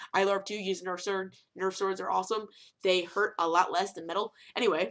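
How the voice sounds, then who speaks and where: A woman with vocal fry speaks at medium pitch and a fairly quick pace. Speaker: cosplay vlogger. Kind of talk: casual vlog monologue. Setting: home webcam recording. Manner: fast; animated.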